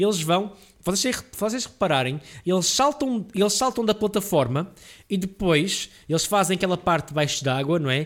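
With music absent and a very clean, silent background, a man talks at a moderate pace in a high pitch, his intonation lively and his loudness very even. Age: 20s. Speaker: podcast host and gaming streamer. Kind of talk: casual solo monologue. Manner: hesitant, many fillers.

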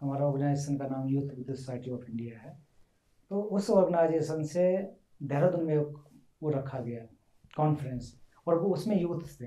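A man with a fairly high pitch speaks in a dark, mellow, somewhat breathy tone, with ordinary pitch variation and big swings in loudness. Long, frequent pauses break his speech, and room echo is audible. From India, western Uttar Pradesh. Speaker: translator. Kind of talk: interview.

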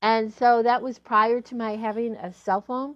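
At a fairly slow pace, a woman talks in a normal speaking voice. Her pitch is fairly high. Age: 60s. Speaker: relationship coach and podcast host. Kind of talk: solo podcast talk.

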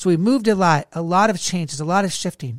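The speaker's tone is animated. The recording is very clean, with a silent background. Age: 30s. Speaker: leadership podcast co-host, ministry leader. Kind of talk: casual faith-based podcast conversation and personal testimony.

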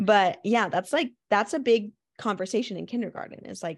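In a quiet background, a woman talks at a fairly quick pace with vocal fry. Her pitch varies in an ordinary way. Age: 20s. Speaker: podcast co-host. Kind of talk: casual chat.

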